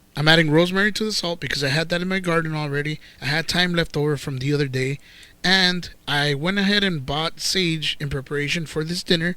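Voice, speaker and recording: On a very clean recording with a silent background, a man speaks with a bright, sharp tone and fairly high pitch. His pace is fairly quick, and his intonation stays fairly even. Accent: Spanish. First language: Spanish. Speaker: cooking channel host, professional cook. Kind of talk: cooking tutorial. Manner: casual, joking.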